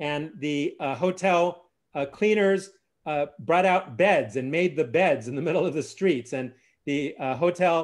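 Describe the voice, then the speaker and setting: The pace is fairly slow, the pitch variation ordinary, and the background quiet. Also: man. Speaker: course host presenting slides. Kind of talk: lecture. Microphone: video call.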